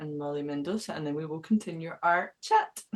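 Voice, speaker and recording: With a Scottish accent, a woman talks at a fairly low pitch with ordinary pitch variation. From Scotland. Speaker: radio show host. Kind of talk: interview chat.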